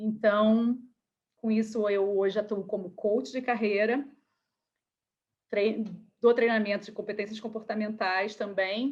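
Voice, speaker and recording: Speaking in a Rio de Janeiro accent, a woman has a fairly high pitch and a monotone, flat intonation. She talks at a fairly slow pace with long, frequent pauses. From Rio de Janeiro, Brazil. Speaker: career coach. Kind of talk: online workshop talk.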